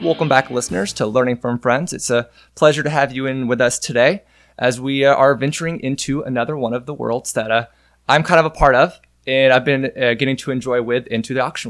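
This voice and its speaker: The voice is a plain, everyday voice at a fairly quick pace. Its intonation stays fairly even. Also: man, medium pitch for a man. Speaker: podcast host. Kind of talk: podcast interview.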